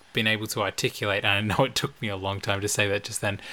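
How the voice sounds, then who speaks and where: Bright and sharp in tone, a man talks at a very fast pace. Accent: Australian. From Australia. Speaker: podcast co-host, pastor's kid. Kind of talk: casual chat; reading aloud.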